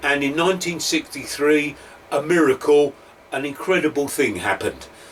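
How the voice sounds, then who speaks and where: A man with an East London accent speaks at a fairly high pitch and a moderate pace. Noticeable background noise runs underneath. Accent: East End London. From London, East End; grew up just outside London. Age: 60s. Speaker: former teacher, educational speaker. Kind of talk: talk to camera, personal story.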